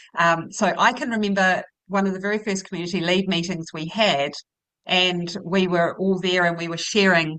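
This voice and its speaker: Fairly even intonation at a moderate pace, in a bright, sharp tone. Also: woman. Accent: New Zealand. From New Zealand. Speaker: educator. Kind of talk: panel conversation.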